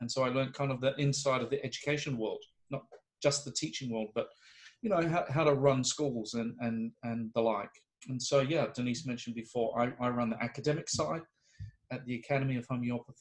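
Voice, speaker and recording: A man's medium-pitched, somewhat breathy voice with a New Zealand accent, fairly even intonation and a fairly quick pace. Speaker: homeopathy professor. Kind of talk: interview conversation. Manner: halting, many fillers and restarts.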